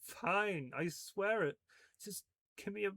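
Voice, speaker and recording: In a put-on character voice, a man talks fairly slowly in a high, croaky register with ordinary pitch variation, the sound dry and close with no echo. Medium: read story.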